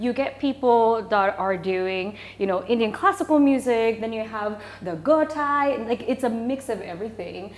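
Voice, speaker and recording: A woman with an American accent, fairly high in pitch, at a moderate pace with lively intonation. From Japan. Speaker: singer and voice teacher. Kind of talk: casual interview chat. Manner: animated.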